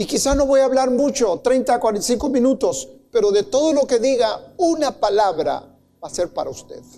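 The tone is dark and mellow, with lively intonation. The pace is moderate. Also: man, extremely high pitch for a man. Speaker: pastor. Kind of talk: sermon. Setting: church with congregation.

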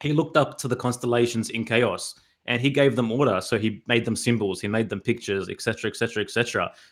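On a very clean recording with a silent background, a man talks at a very fast pace with an Australian accent. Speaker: hip-hop artist and podcaster. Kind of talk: casual interview chat.

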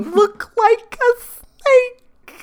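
An extremely high, put-on character voice does the talking. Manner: hissing, sibilant.

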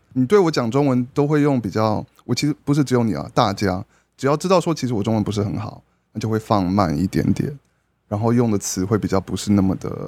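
On a very clean recording with a silent background, a man uses a normal speaking voice at medium pitch, with lively intonation and a fairly quick pace. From grew up abroad (Brunei and elsewhere), born in Taiwan. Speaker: podcast guest. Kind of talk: casual chat. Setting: at a dinner table, eating while recording.

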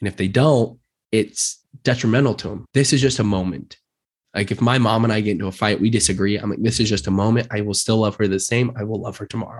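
A man's fairly low-pitched voice with an American accent at a very fast pace, over a quiet background. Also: ordinary pitch variation. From Utah (Murray). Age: 20s. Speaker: real estate agent. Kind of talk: casual interview.

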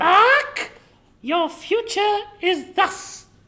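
A female-sounding voice performs a put-on character voice at an extremely high pitch. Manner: theatrical, fortune-telling.

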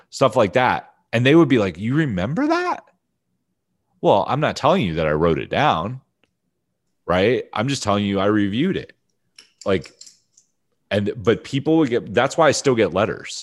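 A man's voice with an American accent, vocal fry, very wide pitch swings and long, frequent pauses, over a quiet background. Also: medium pitch for a man, moderate pace. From US Northeast (Pennsylvania and Ohio). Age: 40s. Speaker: podcast host, marketing coach. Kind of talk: interview as guest (casual chat).

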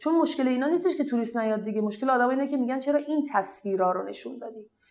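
Over noticeable background noise, a woman talks very fast at a high pitch with lively intonation. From Iran, family of Iraqi returnees. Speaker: blogger. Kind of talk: interview.

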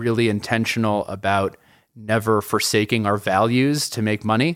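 In an American accent, a man speaks fairly slowly and fairly low, keeping his intonation fairly even. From US Northeast, New York City. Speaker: tech company founder and CEO. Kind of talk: interview. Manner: hesitant, many fillers and repeats.

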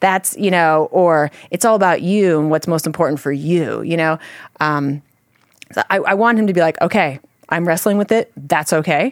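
A woman speaks in an unremarkable speaking voice at a moderate pace. Her pitch is fairly low, with ordinary variation. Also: dry, close sound with no echo. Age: 40s. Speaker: parent and ministry worker. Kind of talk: casual chat.

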